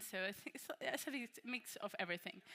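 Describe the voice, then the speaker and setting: Her tone bright and sharp, a woman speaks at a fairly quick pace with ordinary pitch variation. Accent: Spanish. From Spain, Malaga. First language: Spanish. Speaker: workshop presenter, AI creative consultant. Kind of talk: conference workshop talk. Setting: conference room with audience. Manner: casual, many fillers.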